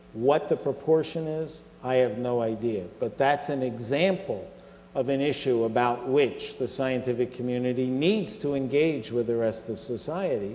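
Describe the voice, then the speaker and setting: Audible room echo surrounds a man of medium pitch speaking at a moderate pace in an American accent. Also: ordinary pitch variation. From US Northeast (Philadelphia). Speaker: scientific organization chief executive. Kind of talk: Q&A after a public lecture.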